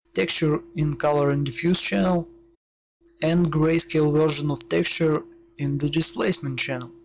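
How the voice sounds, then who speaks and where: Loudness stays very even throughout. A man speaks at a moderate pace. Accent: non-native. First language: not English. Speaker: 3D and VFX tutorial maker. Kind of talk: software tutorial.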